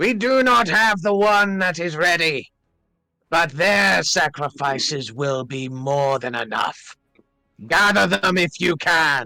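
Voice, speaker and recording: Putting on a menacing character voice, a man speaks at a fairly slow pace with fairly high pitch. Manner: ominous, menacing.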